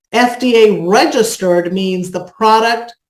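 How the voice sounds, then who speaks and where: A woman speaking at a very slow pace. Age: 50s. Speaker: product presenter. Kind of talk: sales pitch. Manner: animated.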